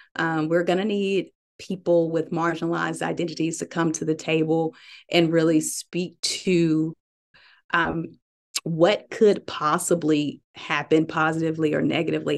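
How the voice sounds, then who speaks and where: A woman with a Southern US accent speaks at a fairly slow pace, her fairly low voice flat and monotone with vocal fry. The background is quiet. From US South, Birmingham, Alabama. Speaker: tech startup CEO. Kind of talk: interview.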